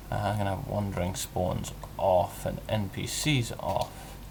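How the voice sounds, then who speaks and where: A man speaking over noticeable background noise. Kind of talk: casual gameplay commentary. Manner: mumbles at times.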